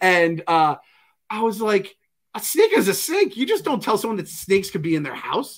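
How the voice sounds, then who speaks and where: A man talks at a moderate pace with a high pitch and ordinary pitch variation. The background is quiet. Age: 40s. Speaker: pop culture podcast co-host. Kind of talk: casual chat. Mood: joking, opinionated. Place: home room.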